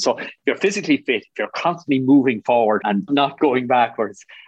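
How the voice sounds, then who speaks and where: A fairly high-pitched man with an Irish Midlands accent and lively intonation. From Ireland, Athlone (rural midlands). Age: 50s. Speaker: business executive. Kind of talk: interview.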